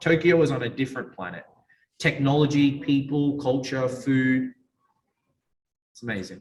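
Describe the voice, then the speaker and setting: Somewhat breathy and fairly high-pitched, a man speaks at a moderate pace with ordinary pitch variation and long, frequent pauses. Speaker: PR agency founder. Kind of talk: casual interview chat. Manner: energetic.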